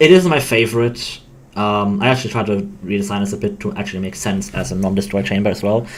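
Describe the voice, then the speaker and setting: A man talks at a very fast pace in a fairly low pitch with ordinary pitch variation, and audible room echo can be heard. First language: not English. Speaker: game developer. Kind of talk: casual chat. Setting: live stream. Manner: halting.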